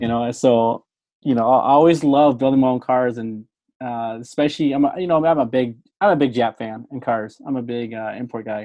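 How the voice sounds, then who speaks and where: Here is a man with a plain, everyday voice at medium pitch. He talks at a fairly quick pace with ordinary pitch variation. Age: 30s. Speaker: podcast host and former mechanic. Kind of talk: casual interview chat.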